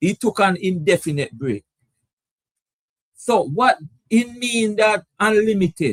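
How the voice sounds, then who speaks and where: The speech is very slow, with lively intonation. The sound is dry and close, with no echo. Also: man. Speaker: cricket show host. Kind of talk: live stream commentary chat. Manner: hesitant, repetitive.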